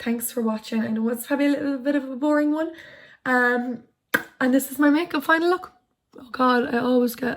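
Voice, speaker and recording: In an Irish accent, a woman with a high voice talks at a moderate pace and fairly even intonation, leaving long, frequent pauses. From Ireland, County Tipperary. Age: 20s. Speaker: YouTuber. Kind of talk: casual chat. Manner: casual, hesitant with many fillers.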